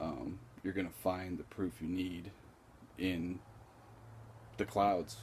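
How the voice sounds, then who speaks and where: A man's very deep, low voice with vocal fry, very slow and broken by long, frequent pauses. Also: ordinary pitch variation. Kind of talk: casual vlog talk to camera. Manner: slow, with long pauses; hesitant, many filler words.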